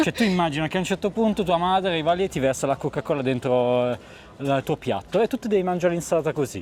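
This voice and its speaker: Over a very clean recording with a silent background, a man talks very fast at a high pitch with lively intonation. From northern Italy, Pavia province. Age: 30s. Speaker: video maker. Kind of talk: casual chat. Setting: restaurant. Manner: animated.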